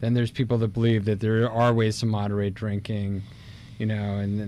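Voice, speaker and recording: A man talks at a fairly quick pace in a dark, mellow tone with monotone, flat intonation, the sound dry with no echo and light background noise behind him. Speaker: radio host. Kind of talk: casual chat. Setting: studio. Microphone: studio mic.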